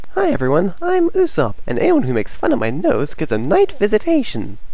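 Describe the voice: Using a put-on character voice, a man speaks at an extremely high pitch and a fairly quick pace.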